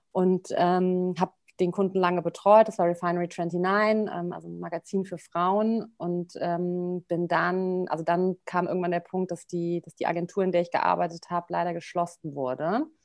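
On a very clean recording with a silent background, a woman speaks at a moderate pace. Her pitch is fairly low and her intonation monotone and flat. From Rhineland, Germany (Bonn). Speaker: PR consultant. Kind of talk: interview. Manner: relaxed, many filler sounds.

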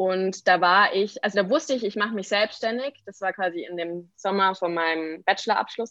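A woman's medium-pitched, bright, sharp voice at a moderate pace, with ordinary pitch variation and hardly any pauses. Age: 20s. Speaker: entrepreneur and brand designer. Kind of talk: podcast interview. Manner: many filler words (ähm, genau).

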